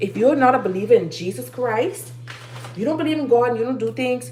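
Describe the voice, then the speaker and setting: A woman speaks with very wide pitch swings, with audible room echo and noticeable background noise. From Bahamas. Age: 30s. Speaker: livestreamer. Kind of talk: motivational talk. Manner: animated.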